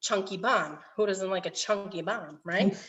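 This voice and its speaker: The voice is a plain, everyday voice. It moves at a moderate pace. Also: woman. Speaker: cooking class instructor. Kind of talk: tutorial.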